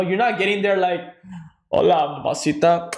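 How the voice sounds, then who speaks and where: With a slight Spanish accent, a man talks in an animated way at a fairly quick pace, his voice high for a man, his pitch varying in an ordinary way, and audible echo in the room. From Mexico, then California Central Valley. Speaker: podcast co-host. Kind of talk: casual chat.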